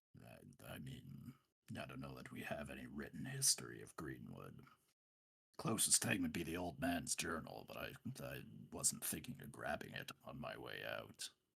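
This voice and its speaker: Raspy and very deep, a man's put-on character voice moves at a moderate pace with ordinary pitch variation. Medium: actual play. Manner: plainspoken, gentle.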